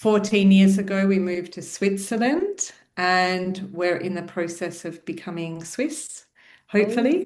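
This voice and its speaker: Her loudness swinging widely, a woman with an Australian accent speaks at a medium pitch and a fairly slow pace, with ordinary pitch variation. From Australia (Melbourne). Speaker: psychology researcher. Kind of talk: podcast interview.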